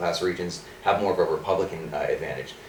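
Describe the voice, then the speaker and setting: A man with an American accent talks at a very fast pace. Noticeable background noise can be heard. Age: 20s. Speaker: political candidate. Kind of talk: interview. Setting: studio.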